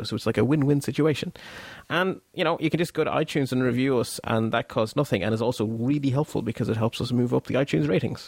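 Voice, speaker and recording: A man talks at a very fast pace in a medium pitch with ordinary pitch variation. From Belgium. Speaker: podcast host. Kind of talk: casual chat.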